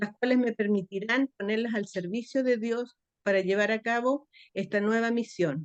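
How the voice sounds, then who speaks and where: Dry and close with no echo, a woman's fairly high voice moves at a very slow pace with fairly even intonation. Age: 60s. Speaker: church training participant, retired teacher. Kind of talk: reading aloud own homework, then casual remarks. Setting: church classroom.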